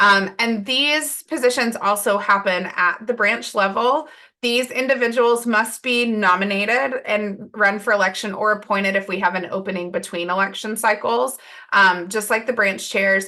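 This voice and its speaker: Bright and sharp in tone, a woman's fairly high voice moves with ordinary pitch variation. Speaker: volunteer branch leader presenting. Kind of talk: webinar presentation. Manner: fast.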